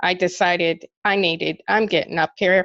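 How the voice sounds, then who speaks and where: A woman speaks at a fairly slow pace in a monotone, flat intonation with vocal fry. The sound is dry and close, with no echo. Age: 60s. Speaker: network marketing member. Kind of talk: testimony.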